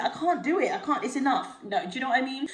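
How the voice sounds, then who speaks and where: A high-pitched woman's voice amid noticeable background noise and audible room echo. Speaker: lifestyle vlogger. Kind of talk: casual vlog haul. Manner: fast.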